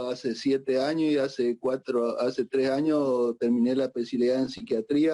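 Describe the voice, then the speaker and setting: Speaking in an Argentine accent, a man has a dark, mellow tone and monotone, flat intonation. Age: 60s. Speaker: psychiatrist. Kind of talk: conference talk. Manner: halting, many fillers.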